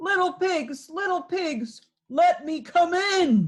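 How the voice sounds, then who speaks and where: A woman uses a put-on character voice that is squeaky and extremely high-pitched, speaking at a very slow pace. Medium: read story. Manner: growling, menacing.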